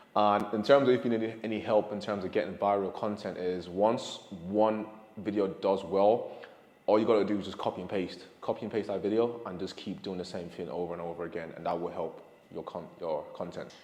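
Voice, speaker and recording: Speaking at a fairly quick pace, a man with a fairly low pitch keeps his intonation fairly even amid audible room echo. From Ireland, Dublin. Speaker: fitness content creator. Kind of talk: casual Q&A chat. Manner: hesitant, self-correcting.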